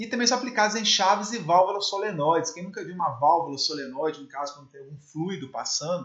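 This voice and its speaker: A man with lively intonation. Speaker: electrical engineering teacher. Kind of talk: lecture. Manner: fast.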